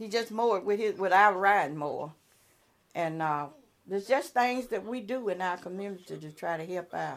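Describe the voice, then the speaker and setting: Lively intonation and big swings in loudness at a moderate pace, with a Mississippi accent. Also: woman, medium pitch for a woman. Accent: Southern US (Mississippi). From US South (Columbia, Mississippi). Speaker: retired social worker, neighborhood block watch president. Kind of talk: casual interview.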